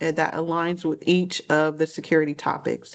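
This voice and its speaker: A plain, everyday voice at a moderate pace against a quiet background. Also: woman. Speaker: cybersecurity trainer. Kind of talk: training session.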